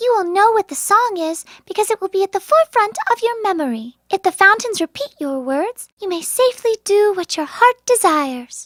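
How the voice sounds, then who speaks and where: A put-on character voice sounds squeaky at an extremely high pitch. It keeps a moderate pace with hardly any pauses. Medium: audio drama. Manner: gentle, soothing.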